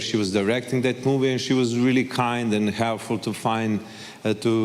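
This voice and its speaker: Male speech in a Serbian accent, monotone and flat, with very even loudness and noticeable background noise. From Serbia, Belgrade. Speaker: actor. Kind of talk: panel interview. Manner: halting.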